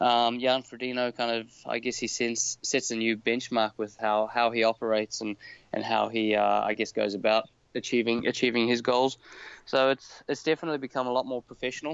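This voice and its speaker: In a New Zealand accent, the speaker talks at a fairly quick pace with monotone, flat intonation. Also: man, medium pitch for a man. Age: 30s. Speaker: professional triathlete. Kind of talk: casual interview.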